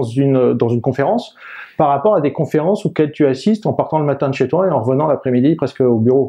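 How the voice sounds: With ordinary pitch variation, the man speaks in a dark, mellow tone.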